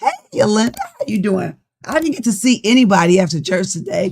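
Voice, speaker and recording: This woman's voice is somewhat breathy and sits at a medium pitch. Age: 60s. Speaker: life coach. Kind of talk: livestream talk. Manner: casual.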